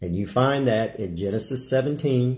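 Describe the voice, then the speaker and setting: Against a quiet background, a man speaks in a somewhat breathy voice. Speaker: preacher. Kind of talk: sermon. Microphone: phone near.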